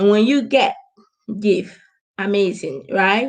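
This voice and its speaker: Her pitch is medium for a woman, with ordinary variation. She speaks at a fairly slow pace. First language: not English. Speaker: business coach. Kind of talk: live stream talk. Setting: live stream.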